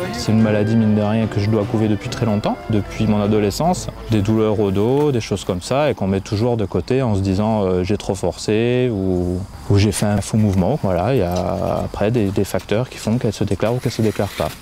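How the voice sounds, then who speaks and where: This man has a normal speaking voice, pitched fairly low. He talks at a fairly quick pace with fairly even intonation. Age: 30s. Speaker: patient with spondylitis, climbing team member. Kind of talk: testimony interview.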